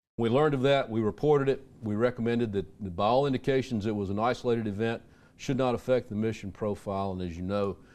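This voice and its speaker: Against a quiet background, a man talks very fast in an Alabama accent. His pitch is medium, with ordinary variation. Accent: Southern US (Alabama). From US South, Birmingham, Alabama. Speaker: retired army intelligence officer. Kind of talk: radio interview.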